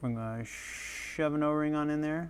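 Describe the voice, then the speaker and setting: A man with a New England accent speaks at a moderate pace. His pitch is fairly high and his intonation fairly even. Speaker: RC hobbyist YouTuber. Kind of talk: tutorial. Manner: casual, self-deprecating chatter.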